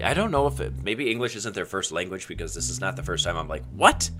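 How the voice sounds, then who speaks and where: Noticeable background noise surrounds a man whose very deep, low voice races at a very fast pace with very wide pitch swings. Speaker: gaming YouTuber. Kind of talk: casual gameplay commentary with co-player.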